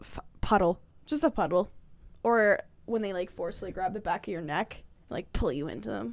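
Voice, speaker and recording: A woman speaks at a moderate pace in a bright, sharp tone with vocal fry. Her pitch swings very widely, and the recording is very clean with a silent background. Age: 20s. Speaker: podcast co-host. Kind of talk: casual chat.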